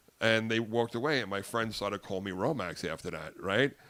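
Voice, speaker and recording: The recording is very clean with a silent background. A man speaks at a fairly quick pace in an animated tone. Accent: Long Island. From US Northeast, Long Island, New York. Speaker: comedian. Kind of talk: casual chat. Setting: podcast studio with headsets.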